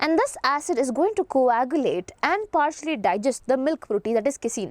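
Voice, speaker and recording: With very wide pitch swings, a woman talks at a very fast pace in a high pitch, the sound dry and close with no echo. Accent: Indian. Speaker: biology teacher. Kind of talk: online lecture.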